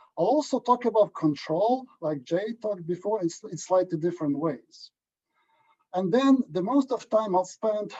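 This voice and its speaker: In a Ukrainian accent, a man with a dark, mellow tone speaks at a moderate pace, the sound dry and close with no echo. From Ukraine. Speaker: agronomy statistician. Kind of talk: lecture. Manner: halting.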